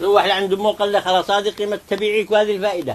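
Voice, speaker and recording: Noticeable background noise sits behind a man speaking at a high pitch with a Taiz accent. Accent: Taizzi Yemeni Arabic. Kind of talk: folk tale told in Taizzi dialect.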